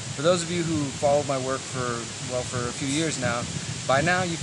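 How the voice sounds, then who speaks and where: Over noticeable background noise, a man speaks fairly quickly at a medium pitch with fairly even intonation. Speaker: meditation guide. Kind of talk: casual talk to camera. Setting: outdoors.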